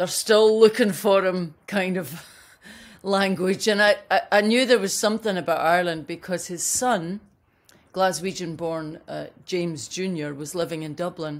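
Talking at a fairly slow pace, a woman shows ordinary pitch variation and big swings in loudness. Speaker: remote interview guest. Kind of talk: interview answer. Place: home room.

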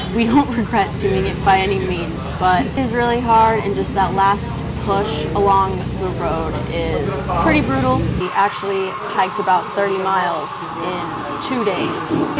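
Loud background noise behind a woman at a fairly slow pace. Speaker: travel vlogger. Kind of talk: casual vlog chat. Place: cafe. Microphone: phone near.

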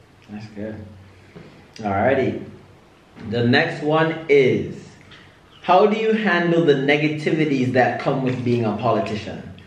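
With audible room echo, a man in a fairly high pitch talks in an upbeat tone with lively intonation. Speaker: YouTube vlogger. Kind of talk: casual family Q&A vlog. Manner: upbeat, laughing. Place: home room.

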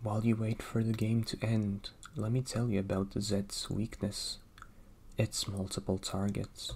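Soft-spoken and somewhat breathy, a man talks in a calm, dark, mellow tone at a fairly slow pace with fairly even intonation. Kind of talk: ASMR whisper-style narration with game commentary. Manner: soft-spoken, calm.

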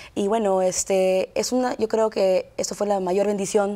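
A woman talks with a dark, mellow tone. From US East Coast, raised partly in Peru. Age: 20s. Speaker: lawyer and political candidate. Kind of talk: TV interview. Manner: halting. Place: studio. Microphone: lapel.

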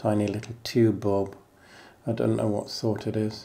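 The man's fairly low voice has a dark, mellow, calm tone. His intonation stays flat and monotone at a moderate pace. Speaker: former lighthouse keeper; tour guide. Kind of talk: walking guided tour narration over video; guided tour commentary. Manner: calm, matter-of-fact pointing out room by room; plainspoken, reminiscing between directions.

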